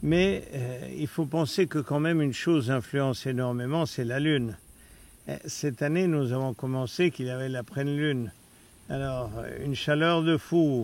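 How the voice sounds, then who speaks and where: A man with an unremarkable speaking voice delivers his words fairly slowly, his fairly high pitch showing ordinary pitch variation. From Austria. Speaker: hunting client. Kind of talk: casual recap interview.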